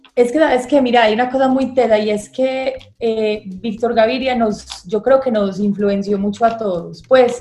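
Speaking at a moderate pace, a woman with a fairly high pitch keeps her intonation fairly even while noticeable background noise sits behind her. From Medellín, Colombia. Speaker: film director. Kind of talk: interview.

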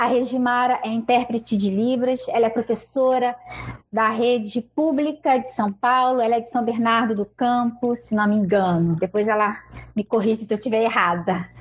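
In a normal speaking voice, a woman talks at a moderate pace with a fairly high pitch and ordinary pitch variation. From Rio de Janeiro. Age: 40s. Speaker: web show host. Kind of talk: casual chat.

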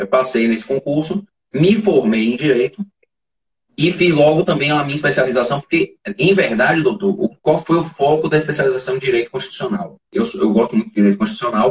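Fairly high in pitch and somewhat breathy, a man speaks with lively intonation in a dry, close sound with no echo. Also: fairly quick pace. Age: 40s. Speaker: forensic expert. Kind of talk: interview. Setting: live stream.

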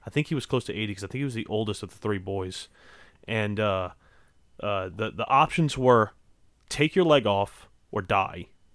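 Over a silent background in a very clean recording, a man talks in a fairly low voice with a Southern US accent. His pace is moderate, with long, frequent pauses. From Louisiana. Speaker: podcast host. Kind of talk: casual chat. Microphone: new microphone.

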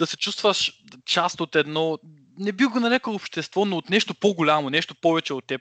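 With a bright, sharp tone and lively intonation, a man talks at a moderate pace in a high voice, recorded dry and close with no echo against a quiet background. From Bulgaria, Shumen region. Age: 20s. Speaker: podcast host, linguistics student. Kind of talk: casual chat. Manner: halting.

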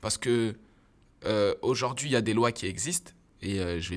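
Recorded very cleanly against a silent background, a man talks at a moderate pace with lively intonation. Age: 30s. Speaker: startup co-founder. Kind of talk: casual interview.

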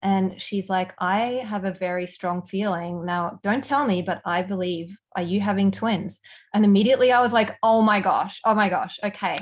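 Against a quiet background, a woman with an Australian accent speaks in a somewhat breathy voice with fairly even intonation. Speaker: empowerment and mindset coach. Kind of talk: casual chat.

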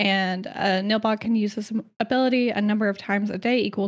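A woman talks at a fairly quick pace in an animated tone. Her pitch sits in the medium range. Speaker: podcast co-host presenting lore. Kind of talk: casual chat, lore presentation. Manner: laughs often, animated.

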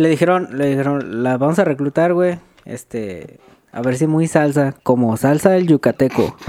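This is an ordinary speaking voice from a man at a fairly high pitch. He keeps a moderate pace with ordinary pitch variation. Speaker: podcast co-host. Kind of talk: casual chat.

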